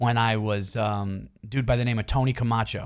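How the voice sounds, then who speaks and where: A man speaks with an East Coast US accent. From New York area. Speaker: stand-up comedian. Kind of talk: casual chat.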